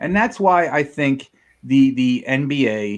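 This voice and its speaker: The speaker is male. His voice climbs and drops across a very wide range. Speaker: sports podcast host. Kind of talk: casual sports chat. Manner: stuttering, rushed; animated.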